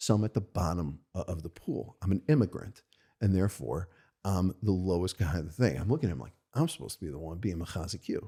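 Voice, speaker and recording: Very fast and lively, a man with an American accent speaks at a very deep, low pitch in a dark, mellow tone with vocal fry. The recording is very clean, with a silent background. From US Northeast, Monsey, New York. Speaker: rabbi and yeshiva head. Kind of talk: interview conversation. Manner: halting.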